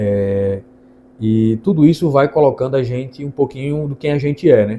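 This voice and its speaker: A man's medium-pitched voice with a dark, mellow tone and ordinary pitch variation. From Brazil, Ceará interior (Northeast). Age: 20s. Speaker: lawyer. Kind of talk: channel introduction monologue.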